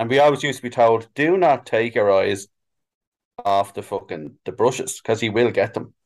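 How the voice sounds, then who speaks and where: With a Dublin accent, a man speaks at a moderate pace and medium pitch, his intonation lively. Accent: Dublin Irish. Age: 40s. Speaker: sign painter. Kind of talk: casual chat.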